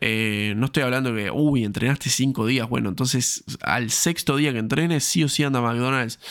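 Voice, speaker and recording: Recorded very cleanly against a silent background, a man speaks at medium pitch with ordinary pitch variation and very even loudness. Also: moderate pace. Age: 20s. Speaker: fitness coach and podcast host. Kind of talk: solo podcast monologue. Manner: hesitant, frequent fillers and repetitions.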